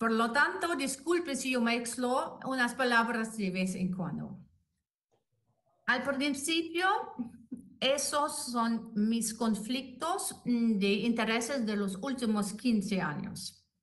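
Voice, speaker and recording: A woman with a non-native accent speaks very slowly at a fairly high pitch with lively intonation, and room echo is audible. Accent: non-native Spanish speaker. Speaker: anesthetist and intensive care doctor. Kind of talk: lecture. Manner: halting.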